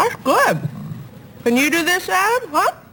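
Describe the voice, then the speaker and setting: A woman puts on a squeaky character voice at an extremely high pitch, with very wide pitch swings and a moderate pace. Background noise is clearly heard. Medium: short film.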